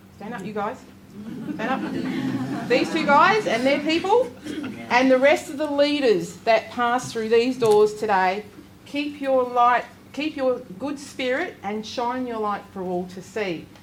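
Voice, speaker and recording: Amid noticeable background noise, a woman with a high pitch and lively intonation speaks at a fairly slow pace, her loudness swinging widely. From Western Australia, Perth area (Noongar). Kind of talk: welcome to country speech. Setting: seminar with audience. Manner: hesitant, many fillers.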